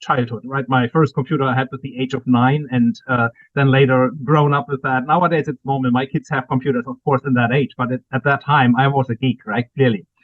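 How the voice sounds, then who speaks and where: A man speaks with a German accent at a fairly quick pace. His pitch is medium and his intonation fairly even. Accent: German accent, lasting. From Germany. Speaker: cyber security executive and author. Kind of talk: interview.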